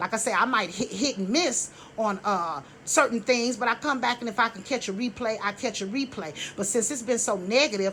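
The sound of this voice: Her tone is bright and sharp as this woman talks at a fairly quick pace. She has a medium pitch with ordinary pitch variation.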